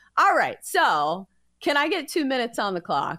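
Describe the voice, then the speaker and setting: A woman speaks in a Southern US accent, her tone bright and sharp, with very wide pitch swings. The recording is very clean, with a silent background. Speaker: sports betting podcast host. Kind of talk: sports betting picks.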